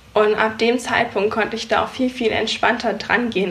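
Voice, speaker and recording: Noticeable background noise accompanies a woman with a fairly high-pitched voice speaking at a moderate pace. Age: 20s. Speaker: photographer and business coach. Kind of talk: interview.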